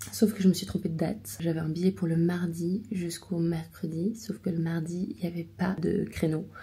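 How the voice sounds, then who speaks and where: A woman talks at a moderate pace with hardly any pauses. Her fairly low voice has a dark, mellow tone and vocal fry. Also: ordinary pitch variation. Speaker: watercolour artist and vlogger. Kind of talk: casual vlog talk. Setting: hotel room.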